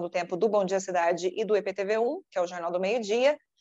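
With a dark, mellow tone, a woman at a medium pitch talks at a fairly quick pace and fairly even intonation. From Brazil, southern Minas Gerais. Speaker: TV news anchor and journalist. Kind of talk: interview.

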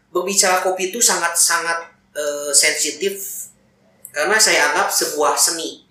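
A man talks at a moderate pace in a high pitch with ordinary pitch variation. Audible room echo surrounds his voice. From Indonesia, Garut (West Java). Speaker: coffee roaster and coffee shop owner. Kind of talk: casual interview. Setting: inside a coffee roastery.

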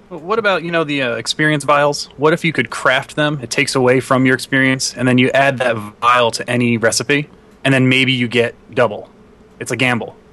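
A fairly quick pace with ordinary pitch variation, over noticeable background noise. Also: man, medium pitch for a man. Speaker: Minecraft youtuber guest. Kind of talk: casual chat.

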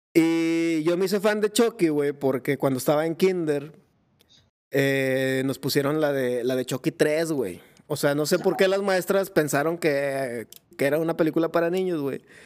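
In a Mexican accent, a man speaks at a fairly slow pace. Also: fairly high pitch for a man, ordinary pitch variation. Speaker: podcast host. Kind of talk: casual chat. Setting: live video stream. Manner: animated.

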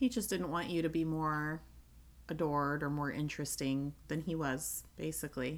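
A woman speaks at a moderate pace, her very deep, low voice keeping a fairly even intonation. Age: 30s. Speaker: podcast co-host. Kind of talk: casual chat.

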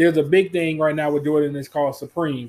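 Using a plain, everyday voice, a man speaks at a fairly high pitch with fairly even intonation. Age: 20s. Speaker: podcast co-host, parent. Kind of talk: casual chat.

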